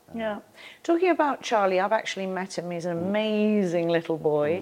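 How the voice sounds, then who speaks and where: A normal speaking voice from a woman, fairly low in pitch, with ordinary pitch variation and a quiet background. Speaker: interviewer, television host. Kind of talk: interview.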